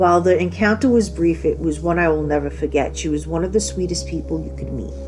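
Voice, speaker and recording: A woman talking at a very fast pace, with music in the background and audible room echo. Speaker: horror podcast host. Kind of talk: casual solo podcast monologue.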